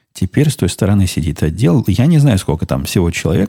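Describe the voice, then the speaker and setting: A somewhat breathy, dark, mellow tone at a fairly quick pace with lively intonation, in a dry, close sound with no echo. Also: man. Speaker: podcast host. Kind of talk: casual monologue.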